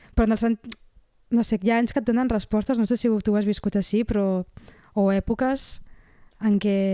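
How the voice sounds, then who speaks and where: A woman's dark, mellow voice, monotone and flat, at a fairly quick pace with long, frequent pauses, very even loudness and a dry, close sound with no echo. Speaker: writer and podcaster. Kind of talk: casual chat.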